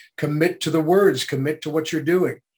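An unremarkable speaking voice delivers its words with fairly even intonation. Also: man. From Canada. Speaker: voice actor. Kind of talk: interview.

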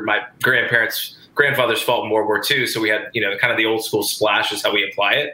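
At a fairly quick pace, a man talks with an American accent. Audible room echo and noticeable background noise surround him. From US South. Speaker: chef. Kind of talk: casual chat.

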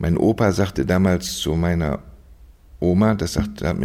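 The voice has a dark, mellow tone with vocal fry and lively intonation. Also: man. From Germany, Düsseldorf. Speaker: orthodox bishop. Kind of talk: interview. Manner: hesitant, many fillers.

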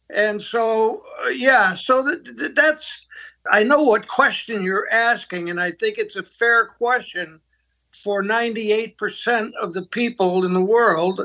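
Against a quiet background, a raised, projected voice with a bright, sharp tone and ordinary pitch variation moves at a very slow pace. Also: man, high pitch for a man. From US Northeast, Pittsburgh. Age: 80s+. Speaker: ministry leader and mentor. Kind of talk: interview conversation. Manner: halting, repeats words.

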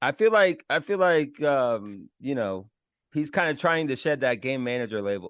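A man with a fairly high pitch, very wide pitch swings and an American accent. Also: moderate pace, quiet background. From Florida. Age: 30s. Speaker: podcast host. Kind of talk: casual chat.

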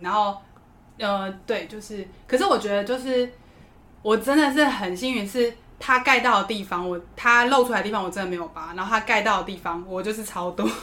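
Her pace fairly quick, a woman speaks at a fairly high pitch with ordinary pitch variation and big swings in loudness. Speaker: flight attendant. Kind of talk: casual chat. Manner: animated.

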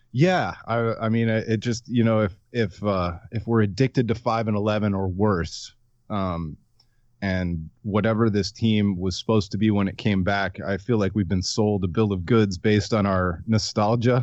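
A man with an American accent talks in an unremarkable speaking voice at a fairly low pitch, with fairly even intonation and a moderate pace. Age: 30s. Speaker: sports blogger. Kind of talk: casual chat.

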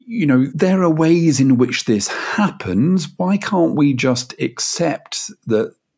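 A man with a British accent. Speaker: podcast host. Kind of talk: interview.

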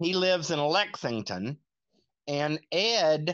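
A man speaks with a Southern US accent. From North Carolina, Lincolnton. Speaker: podcast guest with Asperger's. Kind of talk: interview. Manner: halting.

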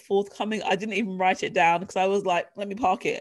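Captured in a very clean recording against a silent background, a woman speaks at a fairly high pitch. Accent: English. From England. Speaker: leadership coach and author. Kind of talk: casual interview chat, personal testimony.

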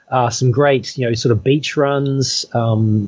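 A man with an Australian accent speaks at a very slow pace. His medium-pitched voice keeps a fairly even intonation. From Australia (Perth). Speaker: trail runner. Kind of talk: interview. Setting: remote call.

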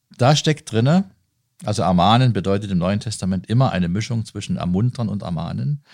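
A man with a normal speaking voice, fairly low in pitch, with lively intonation and a fairly quick pace. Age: 50s. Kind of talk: interview. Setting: on site at a leisure centre.

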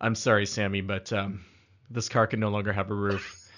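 Using a put-on character voice, a man sounds raspy and fairly low-pitched, talking at a fairly quick pace with monotone, flat intonation. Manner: serious, grave.

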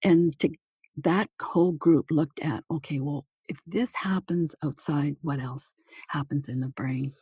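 A woman with a Canadian accent speaks at a fairly slow pace, her pitch very deep and low and her tone dark, mellow and somewhat breathy. Her pitch varies in an ordinary way, and the sound is dry and close with no echo. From Manitoba, Canada. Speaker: retired nurse, author and speaker. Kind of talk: interview. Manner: hesitant, many fillers.

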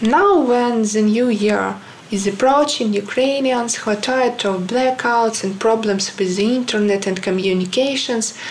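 Speech at a fairly slow pace with ordinary pitch variation comes through audible room echo and noticeable background noise. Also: woman. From Ukraine. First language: Ukrainian. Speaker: illustrator. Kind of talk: personal statement. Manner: halting, many fillers.

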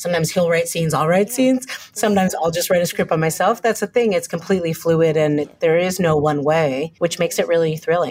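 With an American accent, a woman talks at a very fast pace with hardly any pauses, her somewhat breathy voice fairly low in pitch, very even in loudness and ordinary in pitch variation. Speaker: TV writer and director. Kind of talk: casual interview conversation. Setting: video call.

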